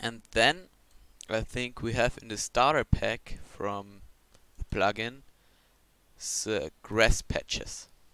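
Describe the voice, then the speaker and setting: A man with a German accent, medium pitch and bright, sharp tone, at a very slow pace with long, frequent pauses and ordinary pitch variation. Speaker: video tutorial creator. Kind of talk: screen-recorded software tutorial. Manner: halting, with many fillers and restarts.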